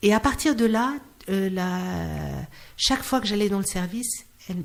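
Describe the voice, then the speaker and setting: A woman speaks at a moderate pace in a medium pitch, a little breathy. The recording is very clean with a silent background. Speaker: clown and singer. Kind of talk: interview. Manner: halting, with repetitions.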